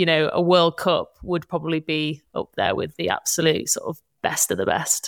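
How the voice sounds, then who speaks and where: A woman's fairly low, monotone voice with flat intonation, at a moderate pace, on a very clean, dry and close recording with a silent background and no echo. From Netherlands. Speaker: football commentator and presenter. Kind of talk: interview.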